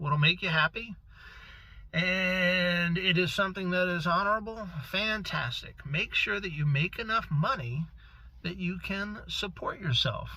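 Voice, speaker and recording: The tone is bright and sharp. Intonation stays lively. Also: man. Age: old. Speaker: vlogger. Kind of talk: casual advice monologue. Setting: waiting outside a doctor's office. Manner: rambling with fillers.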